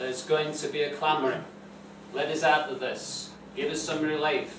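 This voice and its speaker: A man talks at a fairly slow pace. Room echo is audible, along with light background noise. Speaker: preacher. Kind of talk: sermon. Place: church. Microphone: camera far.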